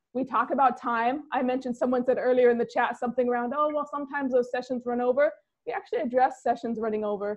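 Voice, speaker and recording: The voice moves at a very fast pace with fairly even intonation. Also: woman, high pitch for a woman. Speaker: therapist and business coach for therapists. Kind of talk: live webinar Q&A.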